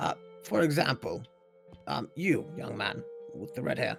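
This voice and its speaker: Raspy, fairly high-pitched put-on character voice from a man, at a moderate pace, with faint music in the background. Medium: machinima. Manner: casual, rambling, self-correcting.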